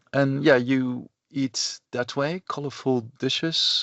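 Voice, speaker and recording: Speaking at a very slow pace, a man with a Dutch accent has a fairly high pitch. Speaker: professor. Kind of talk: lecture. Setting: recorded online lecture. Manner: halting, many fillers.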